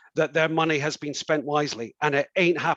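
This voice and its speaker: A man's fairly high, bright and sharp voice with ordinary pitch variation, the sound dry and close with no echo. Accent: Scottish. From Scotland. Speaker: councillor and election candidate. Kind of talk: political hustings answer. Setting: online event.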